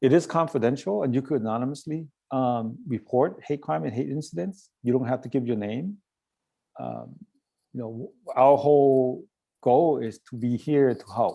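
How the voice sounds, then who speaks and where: A man speaks at a moderate pace with a dark, mellow tone. His loudness swings widely while his pitch varies in an ordinary way. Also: medium pitch for a man. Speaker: nonprofit director giving a talk. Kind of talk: presentation to a club. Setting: club meeting. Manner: hesitant with fillers; voice a little shaky.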